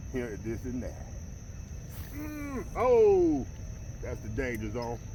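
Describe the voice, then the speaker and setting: Very slowly, a man speaks amid audible room echo. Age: 60s. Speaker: fishing vlogger. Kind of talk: casual vlog narration. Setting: outdoors.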